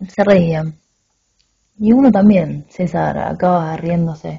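A woman speaks at a very slow pace, with lively intonation. Her tone is intense and somewhat breathy. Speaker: narrator reading a short story aloud. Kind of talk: dramatic narration of a literary story, confessional first-person reading aloud. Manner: intense, halting and confessional, with pauses and stumbles, a tone of shame and regret.

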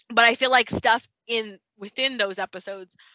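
A woman speaks with an American accent in a bright, sharp tone. The sound is dry and close, with no echo. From Texas. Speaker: podcast co-host. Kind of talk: scripted outro; casual chat.

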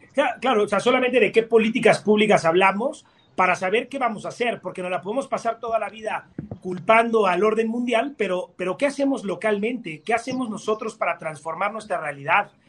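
The voice is a man's, high in pitch. It moves at a fairly quick pace. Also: ordinary pitch variation. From Mexico. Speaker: architect. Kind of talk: debate. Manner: halting.

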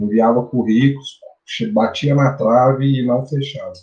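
A man speaks at a medium pitch with ordinary pitch variation, his dark, mellow tone somewhat breathy. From Brazil, Minas Gerais interior (Araxá). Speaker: bitcoin analyst and physical educator. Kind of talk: casual interview chat.

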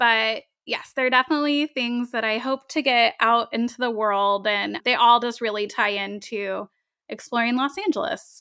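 On a very clean recording with a silent background and a dry, close sound with no echo, a woman speaks high and bright with a sharp tone, ordinary pitch variation and a moderate pace. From Tennessee (born Long Beach, California). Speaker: travel blogger and podcaster. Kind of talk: casual interview chat.

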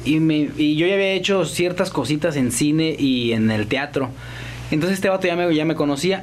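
A man with a Mexican accent speaks at a moderate pace and a fairly high pitch with lively intonation, with audible room echo and noticeable background noise. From Mexico, Guanajuato. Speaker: actor and comedian. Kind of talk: casual chat.

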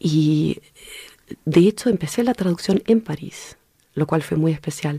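With a dark, mellow tone and fairly low pitch, a woman speaks at a fairly slow pace. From California, US (left Chile as a baby). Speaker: director, actor, writer and translator. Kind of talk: radio interview.

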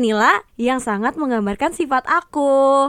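An energetic woman's voice, high in pitch, with lively intonation. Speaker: student podcast co-host. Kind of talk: casual chat.

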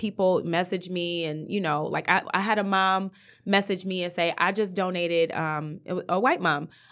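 A woman's normal speaking voice at a medium pitch, with ordinary pitch variation and a moderate pace, on a very clean recording with a silent background. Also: hardly any pauses. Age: 30s. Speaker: basketball coach's wife and mother. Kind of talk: casual interview chat.

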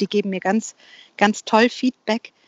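Her intonation is fairly even. The woman speaks at a moderate pace. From Bavaria, Germany. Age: 40s. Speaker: freelance copywriter. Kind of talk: casual interview. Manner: halting, many fillers and repetitions.

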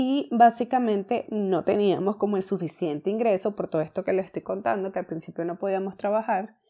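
A woman speaks at medium pitch in a dark, mellow tone with ordinary pitch variation, recorded very cleanly against a silent background. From Venezuela. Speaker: entrepreneurship podcaster. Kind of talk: casual personal story monologue.

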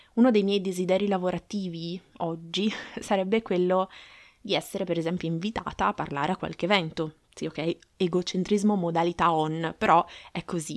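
This woman talks at a moderate pace and medium pitch, with fairly even intonation. The sound is dry and close with no echo, an ordinary speaking voice. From Aosta Valley, northern Italy. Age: 30s. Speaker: marketing podcaster. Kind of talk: solo podcast monologue.

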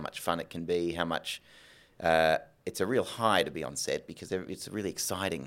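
On a very clean recording with a silent background, a man with an Australian accent speaks fairly quickly at a very deep, low pitch with fairly even intonation. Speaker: film and TV director. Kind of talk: interview on stage. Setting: stage with live audience.

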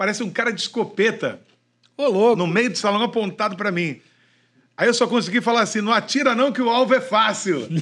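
With a Rio de Janeiro accent, the speaker moves at a fairly quick pace with ordinary pitch variation on a very clean recording with a silent background. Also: man, high pitch for a man. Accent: carioca. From Niterói, Rio de Janeiro. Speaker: veteran radio broadcaster. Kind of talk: casual chat. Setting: studio.

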